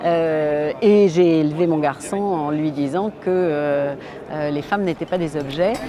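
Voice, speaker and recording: Noticeable background noise fills the recording. A woman speaks at a very slow pace in a very deep, low pitch with ordinary pitch variation. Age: 60s. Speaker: feminist activist, association president. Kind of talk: documentary interview. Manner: hesitant, many filler sounds.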